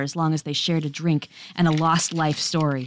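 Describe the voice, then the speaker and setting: A woman with a normal speaking voice at a moderate pace, sounding dry and close with no echo, against a quiet background. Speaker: podcast co-host and actor. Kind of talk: casual chat. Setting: in-person recording with microphones.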